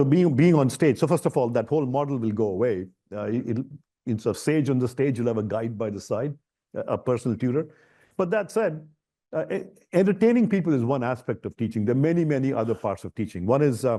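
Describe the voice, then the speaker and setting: A man with an Indian accent talks at a very fast pace with lively intonation. His medium-pitched voice has a dark, mellow tone over a quiet background. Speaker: ed-tech founder and professor. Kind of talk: fireside chat interview. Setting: stage with live and online audience. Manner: animated, many repetitions and fillers.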